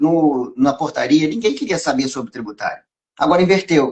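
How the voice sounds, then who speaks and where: At a fairly quick pace, a man with a fairly high pitch talks with lively intonation. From Brazil, Rio de Janeiro and Minas Gerais. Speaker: tax lawyer and professor. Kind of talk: live stream interview.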